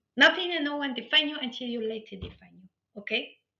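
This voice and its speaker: A woman with a non-native accent speaks at a moderate pace in an animated tone. Her voice is bright and sharp, with ordinary pitch variation. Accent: foreign. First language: not English. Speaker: life coach. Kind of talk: motivational workshop talk. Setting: online live webinar.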